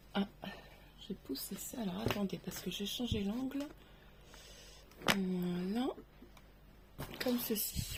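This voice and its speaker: Over noticeable background noise, a woman speaks at a very slow pace with lively intonation. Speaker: craft tutorial creator. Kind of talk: tutorial. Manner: soft-spoken.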